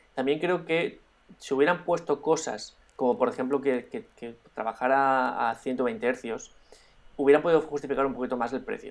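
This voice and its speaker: A man with a normal speaking voice uses lively intonation and a fairly high pitch, talking at a moderate pace. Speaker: drone podcast co-host and YouTuber. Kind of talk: casual chat.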